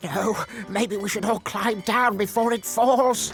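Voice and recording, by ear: Over clear background noise, a man puts on a cartoonish character voice at a high pitch and a fairly slow pace.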